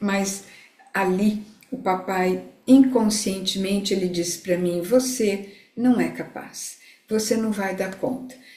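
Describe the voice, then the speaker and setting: A woman's medium-pitched voice, very slow and fairly even in intonation, amid noticeable background noise and audible room echo. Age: 60s. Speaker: integrative therapist. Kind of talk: live talk to online audience.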